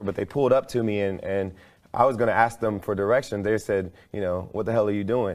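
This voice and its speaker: An ordinary speaking voice with fairly even intonation, on a very clean recording against a silent background. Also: man. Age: 30s. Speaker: interviewee. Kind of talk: interview.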